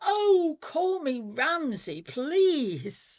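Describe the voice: A woman puts on a high-pitched character voice with very wide pitch swings.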